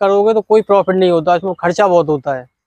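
Here a man speaks with lively intonation. The background is quiet and the sound dry, with no echo. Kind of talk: interview answer. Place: farm machine. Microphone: lapel.

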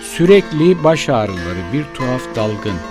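Music plays in the background as a man speaks very slowly at medium pitch with very wide pitch swings. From Turkey, Burdur. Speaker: writer. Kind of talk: poetry reading.

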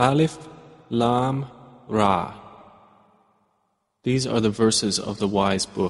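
Long pauses come often in this fairly slow speech, whose pitch varies in an ordinary way. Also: man, medium pitch for a man. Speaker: English translation voice-over reader. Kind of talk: Quran translation reading, measured narration.

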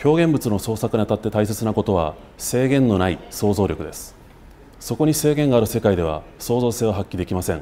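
With lively intonation and a dark, mellow tone, a man speaks at a fairly quick pace in a fairly low pitch over light background noise. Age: 30s. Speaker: political candidate; candidate. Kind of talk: campaign speech. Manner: formal. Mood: earnest, formal. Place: studio.

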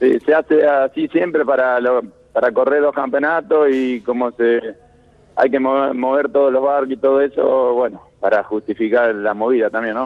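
Here is a man with a plain, everyday voice, pitched at a medium level. He keeps a moderate pace, fairly even intonation, and very even loudness. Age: 30s. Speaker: Olympic sailor. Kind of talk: interview.

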